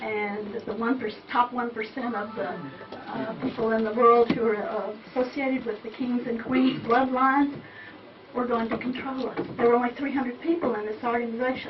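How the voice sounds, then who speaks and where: Over noticeable background noise and audible room echo, someone with an American accent speaks at a moderate pace with fairly even intonation. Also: woman, high pitch for a woman. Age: 70s. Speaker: audience member asking a question. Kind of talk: audience question at a talk.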